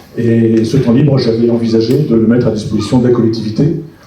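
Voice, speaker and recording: Noticeable background noise and audible room echo fill the recording. A man talks through it. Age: 60s. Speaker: retired engineer, municipal candidate. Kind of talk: public meeting self-introduction. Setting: public meeting with audience. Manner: hesitant, many fillers.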